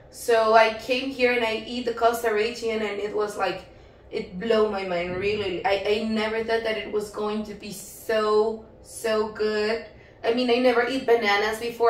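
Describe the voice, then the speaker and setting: A woman speaks at a moderate pace with a fairly high pitch. There is audible room echo and noticeable background noise. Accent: Spanish. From Mexico. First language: Spanish. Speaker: travel vlogger. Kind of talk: casual chat. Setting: filmed on location in Costa Rica.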